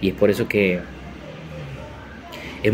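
Noticeable background noise accompanies a man whose pitch is fairly low. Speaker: commercial voice-over announcer and social communicator. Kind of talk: motivational podcast talk. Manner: reflective, encouraging. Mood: calm, reflective. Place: home room. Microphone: phone near.

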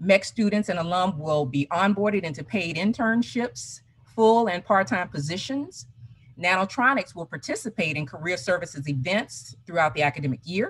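Against a quiet background, a woman's fairly low voice moves through very wide pitch swings. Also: moderate pace. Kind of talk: conference presentation. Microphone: video call.

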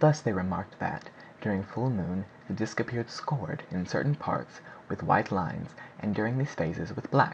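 A somewhat breathy man at fairly low pitch, with lively intonation and a moderate pace. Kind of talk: audiobook narration, scripted reading aloud of a 19th-century novel. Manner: steady, even-paced and formal, with measured, clear delivery; calm, expository, lecture-like tone.

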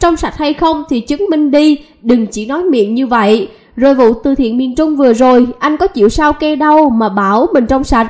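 A woman's high-pitched voice with lively intonation, a moderate pace and hardly any pauses. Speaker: online news channel presenter. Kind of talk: scripted news narration.

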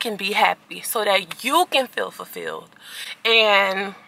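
With no echo at all, the sound of this woman speaking is dry. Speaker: vlogger. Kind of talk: casual vlog chat. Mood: earnest, motivational. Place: car. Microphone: phone near.

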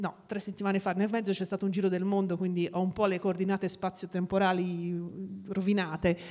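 A woman at a fairly quick pace with monotone, flat intonation, against a quiet background. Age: 40s. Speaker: sociolinguist; guest. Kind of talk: talk at a live event. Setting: stage with audience. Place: hall. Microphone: handheld.

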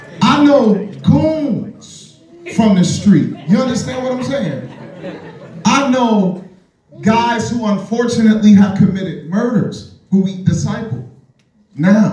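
Speaking at a very slow pace with long, frequent pauses, a man uses lively intonation amid audible room echo and light background noise. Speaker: stand-up comedian. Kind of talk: stand-up comedy routine. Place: stage.

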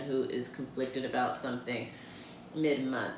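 A woman's voice carries audible room echo over light background noise. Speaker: tarot card reader. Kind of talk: monthly forecast reading to camera. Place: home room. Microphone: camera far.

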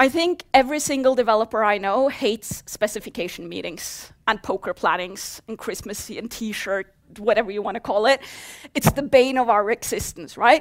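A woman speaks with a Norwegian accent. Her pitch is fairly high. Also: ordinary pitch variation, big swings in loudness, quiet background. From Norway. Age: 30s. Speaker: software developer; conference speaker. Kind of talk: conference talk. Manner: fast. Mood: humorous, lively. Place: hall.

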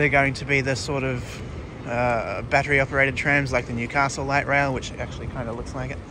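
Noticeable noise runs in the background of this dry recording with no echo. The speech moves at a fairly quick pace. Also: man. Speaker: rail vlogger. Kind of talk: casual vlog chat. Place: street. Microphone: phone near.

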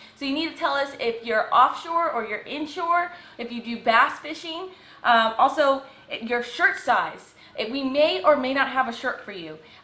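A woman's raised, projected voice rings high with lively intonation and big swings in loudness. Audible room echo fills the space. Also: moderate pace. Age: 20s. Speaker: fishing video creator. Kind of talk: casual chat. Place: home room. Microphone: camera far.

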